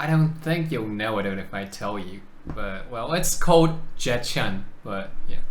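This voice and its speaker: Amid noticeable background noise and audible room echo, a man at medium pitch speaks at a moderate pace with very wide pitch swings. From South Korea. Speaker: video chat YouTuber. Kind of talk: casual chat.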